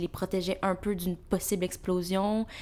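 Her voice sits at a medium pitch for a woman. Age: 20s. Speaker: university student. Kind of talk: casual chat.

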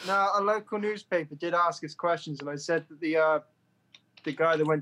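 A man with a British accent talks at a fairly quick pace, his pitch fairly high for a man and varying in an ordinary way. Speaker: podcast host, band member. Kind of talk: casual chat.

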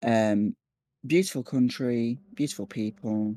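A man's medium-pitched voice with a Scouse accent, dark and mellow in tone, with ordinary pitch variation, on a very clean recording with a silent background. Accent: Scouse (Liverpool English). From Liverpool, northwest England. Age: 20s. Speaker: psychologist. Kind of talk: personal storytelling interview.

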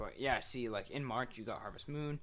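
The speaker is a man with a medium pitch. His tone is bright and sharp. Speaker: podcast co-host. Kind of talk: casual chat. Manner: casual, joking.

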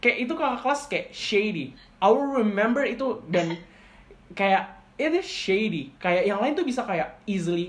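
At a fairly slow pace, a woman with a fairly high pitch sounds animated, her pitch swinging very widely amid audible room echo. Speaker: podcast host. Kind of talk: casual chat.

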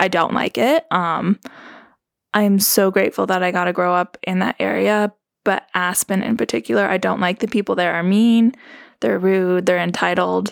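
In a Southern California accent, a woman talks at a moderate pace with medium pitch and very even loudness. The recording is very clean and dry, close, with no echo and a silent background. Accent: American, Valley-girl inflections. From Colorado, Roaring Fork Valley. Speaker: podcast co-host interviewed as guest. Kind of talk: casual conversational interview.

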